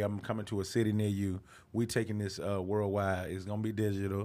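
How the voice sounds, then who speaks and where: This man's voice is fairly low in pitch, and he moves along at a fairly quick speed. His delivery stays monotone and flat. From US South, Atlanta, Georgia. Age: 30s. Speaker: comedian. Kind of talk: casual chat. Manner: halting.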